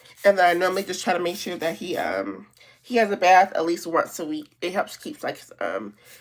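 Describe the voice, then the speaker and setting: Speaking at a moderate pace, a woman at a medium pitch shows vocal fry. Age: 30s. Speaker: beauty vlogger. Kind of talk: casual chat.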